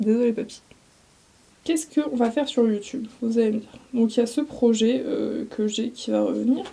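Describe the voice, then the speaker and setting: At a moderate pace, a woman speaks in a fairly high pitch with a dark, mellow tone and ordinary pitch variation. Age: 20s. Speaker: vlogger. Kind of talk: casual chat.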